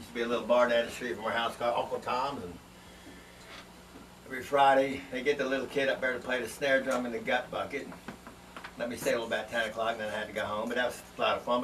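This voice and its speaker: A man at a medium pitch talking at a very fast pace, with audible room echo and noticeable background noise. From Washington, D.C. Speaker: drummer. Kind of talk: band promo self-introduction.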